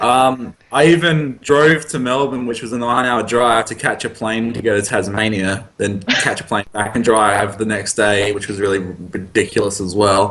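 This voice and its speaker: A man's fairly low voice in an Australian accent, at a moderate pace with hardly any pauses, ordinary pitch variation and noticeable background noise. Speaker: card game player. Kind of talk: casual interview.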